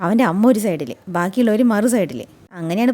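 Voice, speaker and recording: The woman's intonation is lively. Her tone is dark and mellow. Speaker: serial recap youtuber. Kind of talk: episode recap narration. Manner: casual, conversational.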